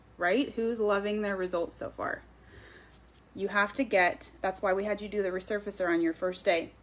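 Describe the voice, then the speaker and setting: Keeping a moderate pace, a woman talks at a medium pitch in a plain, everyday voice. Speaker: skincare sales consultant. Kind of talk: live stream sales presentation. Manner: casual with many fillers.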